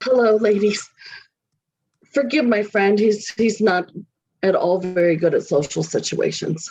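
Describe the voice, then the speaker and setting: A woman puts on a raspy character voice at a medium pitch, with ordinary pitch variation and a moderate pace. Her loudness stays very even, broken by long, frequent pauses. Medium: stage play. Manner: polite, slightly nervous.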